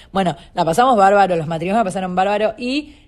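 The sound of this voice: A woman's medium-pitched, slightly mellow voice at a fast pace, with ordinary pitch variation.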